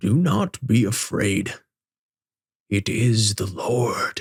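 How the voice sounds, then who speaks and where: A man uses a put-on character voice at a very slow pace, with a medium pitch and ordinary pitch variation. The sound is dry and close with no echo. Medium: read story. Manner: gentle, fatherly.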